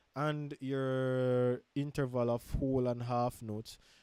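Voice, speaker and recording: Dry and close with no echo, a man's medium-pitched voice sounds dark and mellow. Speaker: music teacher. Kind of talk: tutorial. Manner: halting.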